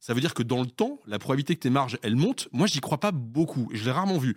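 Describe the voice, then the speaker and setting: A man talks at a fairly quick pace with lively intonation. The sound is dry and close with no echo, on a very clean recording with a silent background. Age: 40s. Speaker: consulting company founder and CEO. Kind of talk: interview. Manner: halting, many repetitions.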